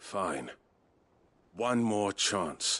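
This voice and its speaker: A man's put-on character voice, raspy and fairly low in pitch. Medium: video game. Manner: curt, stern.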